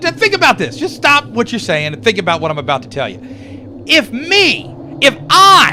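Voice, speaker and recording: A man at a moderate pace with big swings in loudness over noticeable background noise. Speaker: radio show co-host. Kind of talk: casual radio movie review debate. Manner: excitable, boisterous.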